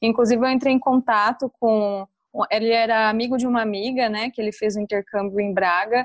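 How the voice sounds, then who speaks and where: A woman with an interior São Paulo accent talks at a fairly high pitch with fairly even intonation. The sound is dry and close with no echo, and the background is quiet. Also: fairly quick pace. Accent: caipira interior São Paulo. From interior of São Paulo state, Brazil (Batatais). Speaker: former exchange student. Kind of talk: casual interview.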